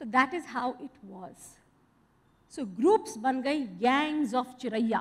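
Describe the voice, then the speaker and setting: Speaking at a very slow pace, a woman with a high pitch shows very wide pitch swings and big swings in loudness. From India. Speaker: storyteller. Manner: animated and expressive, with rhythmic repeated refrains; engaging, asks the audience questions and repeats key lines. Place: stage. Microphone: headset.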